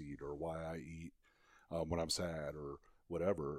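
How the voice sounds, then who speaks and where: On a very clean recording with a silent background, a man with a very deep, low pitch speaks in a monotone, flat intonation. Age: 50s. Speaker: sales executive and productivity coach. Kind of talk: casual interview. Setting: host's home studio.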